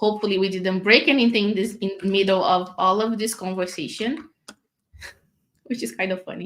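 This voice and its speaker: Delivered at a moderate pace with ordinary pitch variation, the speech carries a non-native accent. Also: woman, medium pitch for a woman. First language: not English. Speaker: developer advocate. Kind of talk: live coding tutorial. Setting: live stream. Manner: casual, with many fillers.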